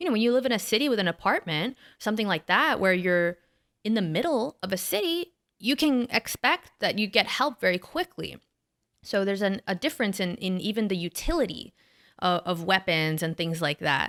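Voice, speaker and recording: The voice has lively intonation. The sound is dry and close with no echo, on a very clean recording with a silent background. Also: woman, medium pitch for a woman, fairly quick pace. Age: young. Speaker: podcast co-host. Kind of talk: casual chat. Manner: halting.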